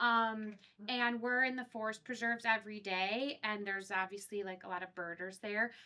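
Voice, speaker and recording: A woman speaks loudly at a moderate pace, her fairly high, bright, sharp voice held in fairly even intonation. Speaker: forest school teacher. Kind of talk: audience question.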